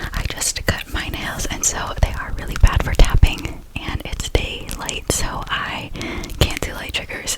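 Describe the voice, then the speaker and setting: A woman whispers, her loudness swinging widely. Noticeable background noise is present. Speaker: ASMR creator. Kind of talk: casual ASMR talk to camera. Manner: whispered.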